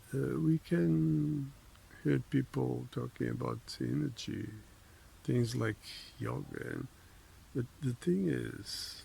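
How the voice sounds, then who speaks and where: Speaking at a very slow pace with long, frequent pauses, a man uses a very deep, low pitch, a dark, mellow tone and very wide pitch swings. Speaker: vlogger. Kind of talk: casual monologue. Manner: halting, many fillers; sometimes swallows words.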